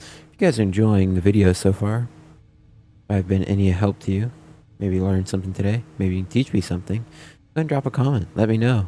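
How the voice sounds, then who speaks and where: On a very clean recording with a silent background, a man with a dark, mellow tone and fairly low pitch speaks at a fairly quick pace with ordinary pitch variation and long, frequent pauses. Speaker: flight sim YouTuber. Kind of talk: casual gameplay commentary with checklists. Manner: fast.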